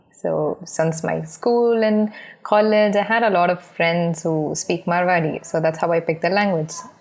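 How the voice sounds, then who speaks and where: A woman speaks at a moderate pace with fairly low pitch and fairly even intonation. Her loudness stays very even, and there is noticeable background noise. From India, Bangalore. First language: unnamed dialect of Marathi. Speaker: podcast guest. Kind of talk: casual chat.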